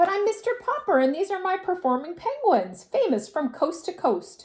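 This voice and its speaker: This put-on character voice is squeaky and extremely high-pitched, delivered at a moderate pace. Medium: read story.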